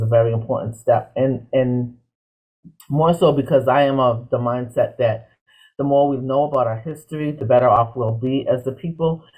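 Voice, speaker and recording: With music in the background, a man keeps fairly even intonation at a moderate pace. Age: 60s. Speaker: panel guest. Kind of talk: panel discussion.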